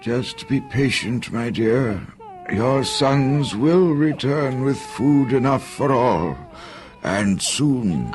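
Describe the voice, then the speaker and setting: Over clear music in the background, a man performs a put-on character voice at a medium pitch and a very slow pace. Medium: audio drama. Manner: calm, steady.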